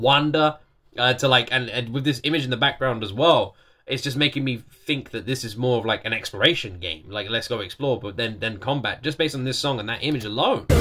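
A man's bright, sharp tone at a very fast pace with ordinary pitch variation. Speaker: reaction video host. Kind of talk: reaction commentary. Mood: impressed, enthusiastic. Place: home room.

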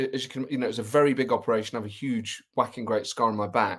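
Against a quiet background, a man rattles off his words at a very fast pace. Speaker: remote guest. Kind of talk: interview answer.

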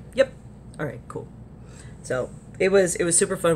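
A woman speaks in an animated tone with an American accent. Vocal fry runs through her voice. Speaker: vlogger at a gaming convention. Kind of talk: casual vlog. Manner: animated, chatty.

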